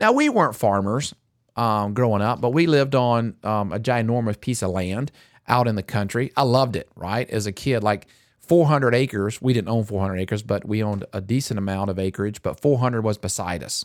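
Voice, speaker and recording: The pace is moderate and the pitch variation ordinary, captured on a very clean recording with a silent background. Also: man, medium pitch for a man. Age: 50s. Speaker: pastor and podcast host. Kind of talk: casual chat. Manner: animated.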